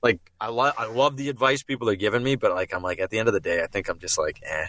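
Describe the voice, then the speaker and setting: A man with a Boston accent talks at a very fast pace and a medium pitch. His tone is bright and sharp, pitch varies in an ordinary way, and the sound is dry and close with no echo. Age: 30s. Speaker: voice actor and impressionist. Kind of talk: casual chat. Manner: halting, many false starts.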